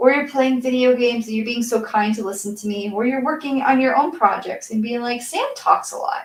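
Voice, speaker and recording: Soft-spoken and at a moderate pace, the voice has lively intonation. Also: woman. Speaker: crafting streamer, cosplay maker. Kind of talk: casual livestream chat while painting. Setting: livestream.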